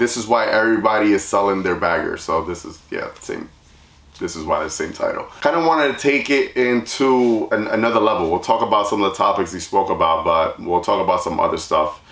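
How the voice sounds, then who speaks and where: The recording carries audible room echo. A man talks at a fairly quick pace. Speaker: channel host. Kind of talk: casual vlog chat. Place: garage.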